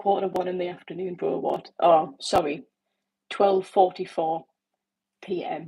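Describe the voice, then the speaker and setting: A woman with a dark, mellow tone speaks at a fairly slow pace with fairly even intonation. She leaves long, frequent pauses. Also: medium pitch for a woman. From northern England. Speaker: livestreamer. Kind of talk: casual chat.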